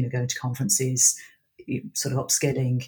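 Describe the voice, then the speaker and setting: A somewhat breathy woman speaks with a West Midlands accent at a very deep, low pitch. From Birmingham, England. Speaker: PowerPoint trainer. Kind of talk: casual chat.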